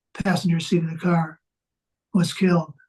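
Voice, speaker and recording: A man speaks in a high pitch with a dark, mellow tone. His intonation is monotone and flat. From US Midwest, western Wisconsin. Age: 70s. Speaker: author and navy veteran. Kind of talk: interview.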